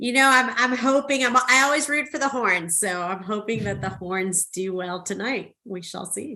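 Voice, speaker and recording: A woman in a Spanish accent, fairly high-pitched with a bright, sharp tone, lively intonation, a moderate pace and hardly any pauses. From South Texas (Rio Grande Valley), from Mexico City until age ten. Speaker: marketing executive. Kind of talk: interview on a podcast.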